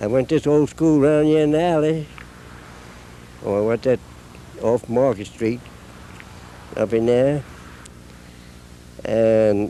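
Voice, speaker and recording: A man with an American accent at a medium pitch, ordinary pitch variation and a fairly slow pace, over noticeable background noise. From Maryland, Brookeville. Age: 90s. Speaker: longtime town resident. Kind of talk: documentary interview.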